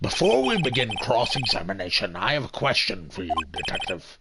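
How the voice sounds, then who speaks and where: Putting on a character voice, a man talks at a fairly quick pace with a medium pitch. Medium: game stream. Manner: formal, measured.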